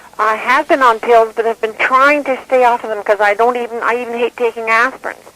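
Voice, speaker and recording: The speech moves at a fairly quick pace. Noticeable background noise sits behind it. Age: 60s. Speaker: caller. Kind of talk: radio call-in question.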